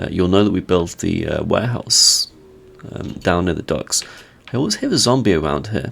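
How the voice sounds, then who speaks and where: A croaky man speaks with lively intonation against noticeable background noise. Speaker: Minecraft content creator. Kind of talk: casual gameplay commentary.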